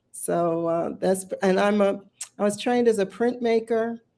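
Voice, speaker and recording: With an American accent, a woman speaks in a dark, mellow tone with ordinary pitch variation on a very clean recording with a silent background. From US Northeast, Philadelphia. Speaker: visual artist. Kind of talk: interview.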